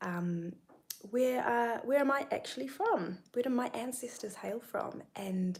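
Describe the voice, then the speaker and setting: Somewhat breathy, a woman with a New Zealand accent speaks with lively intonation. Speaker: spiritual content creator. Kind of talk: livestream monologue. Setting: YouTube live stream.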